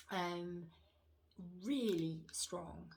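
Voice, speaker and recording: Quiet and somewhat breathy, a woman whispers in a British accent. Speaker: wax melt reviewer. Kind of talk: casual product review vlog. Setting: home room, upstairs. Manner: hushed, near whisper; hesitant, many fillers.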